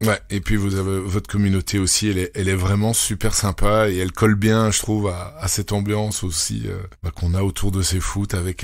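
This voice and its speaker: A man talks at a fairly low pitch. There is noticeable background noise. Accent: Belgian. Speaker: podcast host. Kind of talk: casual interview chat. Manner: hesitant, many fillers.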